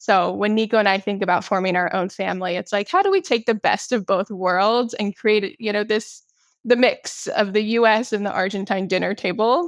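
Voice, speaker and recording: A woman speaks at a moderate pace in a medium pitch with ordinary pitch variation, in an unremarkable speaking voice. The sound is dry and close, with no echo. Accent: American. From United States. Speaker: podcast guest. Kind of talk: interview.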